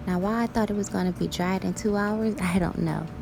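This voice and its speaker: A woman's ordinary pitch variation and moderate pace come across over noticeable background noise. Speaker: natural hair vlogger. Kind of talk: hair tutorial voice-over. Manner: casual.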